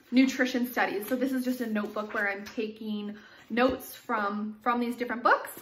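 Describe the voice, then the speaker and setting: Against noticeable background noise, a woman talks at a fairly quick pace and high pitch with fairly even intonation. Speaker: nutrition vlogger. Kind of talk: casual vlog book review.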